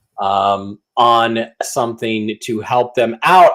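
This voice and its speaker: A loud man speaks in a very clean recording with a silent background. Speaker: online news show host. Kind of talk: sponsor plugs on live news show. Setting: live stream. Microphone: too close to the mic, too hot.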